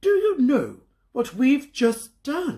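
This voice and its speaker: A man uses a put-on character voice at an extremely high pitch. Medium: read story. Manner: self-assured, knowing.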